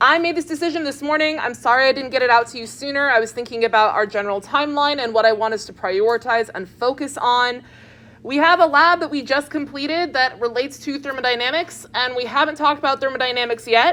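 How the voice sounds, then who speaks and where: Projecting a raised voice at a very fast pace with hardly any pauses, a woman speaks in a high pitch with a bright, sharp tone and ordinary pitch variation. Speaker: chemistry professor. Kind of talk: lecture. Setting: classroom. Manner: loud; casual.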